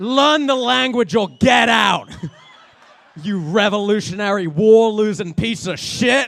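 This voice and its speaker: Over noticeable background noise, a man with an English accent speaks fairly slowly in a high pitch with ordinary pitch variation. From England. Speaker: comedian. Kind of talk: stand-up. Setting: stage with audience. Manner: animated.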